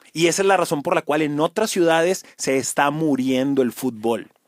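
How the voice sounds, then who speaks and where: Animated speech with lively intonation in a Monterrey accent comes through with a dry, close sound and no echo. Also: man. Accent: Monterrey (regio). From Mexico, Monterrey. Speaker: sports journalist. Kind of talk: casual chat. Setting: podcast studio.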